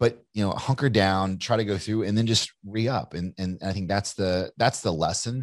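With an American accent, a man talks in a normal speaking voice at a moderate pace. His pitch is fairly low and his intonation fairly even. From Kentucky, US South. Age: 40s. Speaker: entrepreneur and author. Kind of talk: casual interview.

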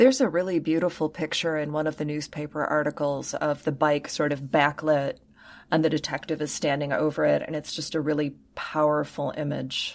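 A woman speaks in a very deep, low pitch with a calm tone and fairly even intonation, at a fairly quick pace. The recording is very clean with a silent background. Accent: American. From Michigan. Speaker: podcast host. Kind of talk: casual chat.

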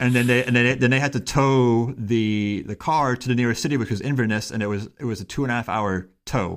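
This man has an unremarkable speaking voice at medium pitch, with fairly even intonation. He talks at a fairly quick pace with hardly any pauses, on a very clean recording with a silent background. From Miami, Florida, US. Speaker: engineering professor. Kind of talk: casual chat.

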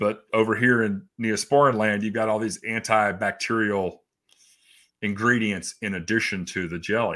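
A man speaks at a moderate pace in a fairly low pitch, his tone bright and sharp and his intonation fairly even. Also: very clean recording, silent background. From East Tennessee. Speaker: skincare company founder. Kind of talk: interview.

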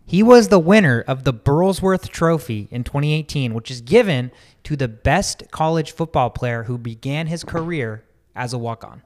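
A man's plain, everyday voice with lively intonation at a moderate pace, on a very clean recording with a silent background. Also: fairly high pitch for a man. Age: 20s. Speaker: sports podcast host. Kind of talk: casual chat.

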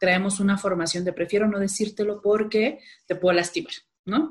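With a Sinaloan accent, a woman speaks fairly quickly in a somewhat breathy, medium-pitched voice with ordinary pitch variation. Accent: Sinaloan Mexican Spanish, regional words. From Mexico, Culiacán, Sinaloa. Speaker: behavioral economics strategist and workshop trainer. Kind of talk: casual interview conversation.

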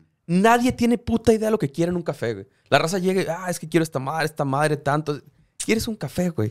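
High-pitched for a man, this speaker talks very fast with lively intonation and big swings in loudness. The recording is very clean, dry and close, with no echo and a silent background. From Tijuana, Mexico. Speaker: podcast co-host. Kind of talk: casual chat. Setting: studio.

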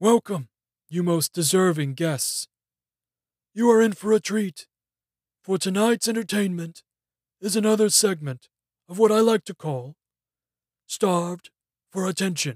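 Doing a put-on character voice, a man talks at a moderate pace and a high pitch, recorded with a dry, close sound and no echo. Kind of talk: theatrical announcer.

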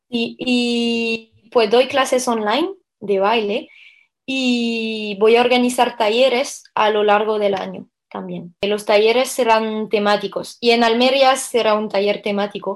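In a very clean recording with a silent background, a woman speaks very slowly at a fairly high pitch. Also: fairly even intonation. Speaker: belly dancer and dance teacher. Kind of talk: interview.

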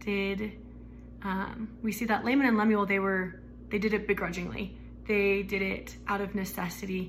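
A woman with an American accent at a moderate pace, audible room echo around her. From Arizona. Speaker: student. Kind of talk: testimony. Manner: halting.

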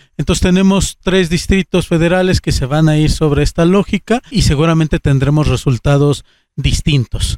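In a plain, everyday voice, a man talks at fairly high pitch with ordinary pitch variation and very even loudness, the sound dry and close with no echo. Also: moderate pace. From Aguascalientes, Mexico. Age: 30s. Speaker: politician. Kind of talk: interview.

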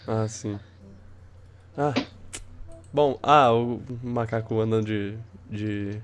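The man's pace is very slow, with long, frequent pauses. His voice has a medium pitch and fairly even intonation. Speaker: podcast host. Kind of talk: casual chat. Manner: halting, many repetitions.

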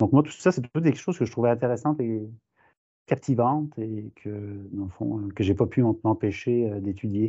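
Ordinary pitch variation in a plain, everyday voice. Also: man, medium pitch for a man, moderate pace. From France. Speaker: professor. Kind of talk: interview.

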